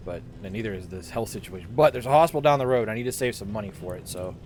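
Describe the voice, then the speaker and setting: Music plays in the background as a man with a Pittsburgh accent speaks at a very fast pace and fairly low pitch, with hardly any pauses, lively intonation and big swings in loudness. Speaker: video game streamer. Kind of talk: gameplay commentary. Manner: animated.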